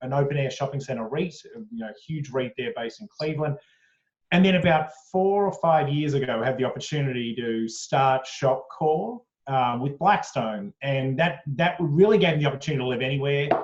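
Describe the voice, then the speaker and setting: A man with an Australian accent, his voice somewhat breathy and fairly high-pitched, at a fairly quick pace with ordinary pitch variation. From Australia (Sydney). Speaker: company executive. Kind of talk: interview. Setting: video call from home attic. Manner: hesitant, many fillers.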